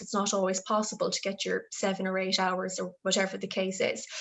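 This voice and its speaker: A woman talks with an Irish accent. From Ireland, Galway. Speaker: health development officer. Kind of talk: interview answer.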